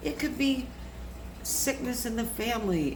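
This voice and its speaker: Speaking fairly slowly, the woman is heard with noticeable background noise and room echo. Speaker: chronic illness advocate. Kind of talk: live stream talk. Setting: Facebook live video.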